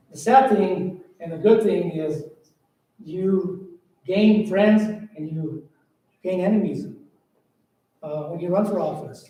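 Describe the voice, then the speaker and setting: With audible room echo around him, a man speaks at a very slow pace in a high pitch, his loudness swinging widely, his pitch varying in an ordinary way, and long, frequent pauses breaking up his words. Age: 60s. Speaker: county commissioner. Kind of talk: farewell speech at public meeting. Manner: halting.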